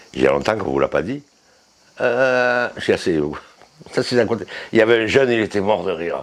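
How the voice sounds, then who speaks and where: At a fairly quick pace, a man with a medium pitch and lively intonation speaks through long, frequent pauses over noticeable background noise. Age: 80s+. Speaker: resident of a shelter for isolated men. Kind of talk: documentary interview.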